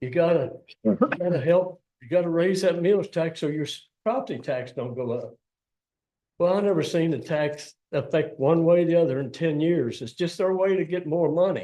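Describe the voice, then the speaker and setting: This man's voice sits high in pitch and has a dark, mellow tone. He speaks at a moderate pace, with ordinary pitch variation and big swings in loudness. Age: 80s+. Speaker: public commenter, retired restaurant owner. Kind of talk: public comment at county meeting. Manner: plainspoken, emphatic.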